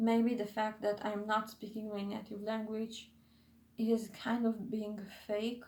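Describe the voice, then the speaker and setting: With a non-native accent, a woman speaks at a fairly high pitch, somewhat breathy, at a fairly slow pace and with monotone, flat intonation. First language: not English. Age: 20s. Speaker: YouTuber / vlogger. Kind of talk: casual vlog monologue. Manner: halting, many fillers and self-corrections.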